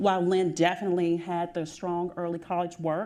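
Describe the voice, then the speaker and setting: A woman with a Southern US accent speaks at a moderate pace in a fairly low, dark, mellow voice on a very clean recording with a silent background. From US South. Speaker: school district administrator. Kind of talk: panel discussion.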